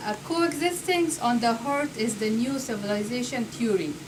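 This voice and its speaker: A woman's high-pitched, moderately paced speech with a non-native accent, noticeable background noise and audible room echo. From Afghanistan. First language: not English. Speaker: speaker at a public talk. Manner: halting; reading from paper.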